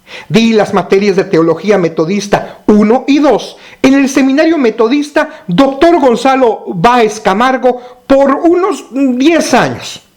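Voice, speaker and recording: With noticeable background noise, a man speaks at a very slow pace in an extremely high pitch. His intonation is lively and his loudness very even. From Mexico. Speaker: pastor. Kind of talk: recorded teaching.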